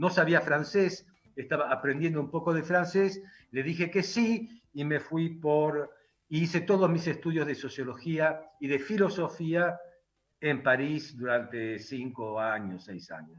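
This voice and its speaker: Using a Rioplatense accent, a man speaks at a fairly slow pace with a fairly high pitch and lively intonation. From Argentina, Buenos Aires. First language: Hungarian (speaking Spanish). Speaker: philosopher and writer. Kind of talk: interview. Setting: radio studio. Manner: halting.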